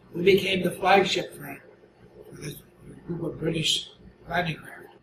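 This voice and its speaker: A high-pitched man at a moderate pace, monotone and flat, with noticeable background noise. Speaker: war veteran. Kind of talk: interview answer.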